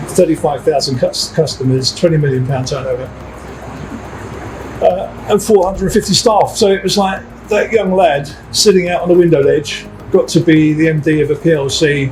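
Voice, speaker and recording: Over noticeable background noise, a high-pitched man speaks at a moderate pace with ordinary pitch variation. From East End of London. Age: 60s. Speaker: security company managing director. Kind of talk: interview. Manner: conversational, with hesitations and repeats.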